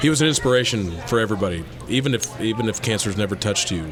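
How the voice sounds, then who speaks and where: The speech comes at a fairly quick pace with lively intonation. Noticeable background noise is present. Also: man. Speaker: podcast panel guest. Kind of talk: casual chat.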